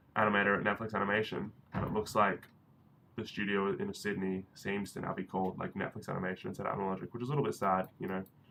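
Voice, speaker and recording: With an Australian accent, the words come out at a very fast pace. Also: man, fairly low pitch for a man, fairly even intonation. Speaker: 3D animator and live streamer. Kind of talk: casual live stream chat.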